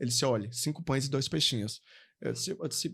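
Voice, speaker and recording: A man with a northeastern Brazilian accent speaks very fast in a fairly high, animated voice with vocal fry and lively intonation, on a very clean recording with a silent background. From Paraíba, Brazil. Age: young. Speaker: pastor. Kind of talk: testimony.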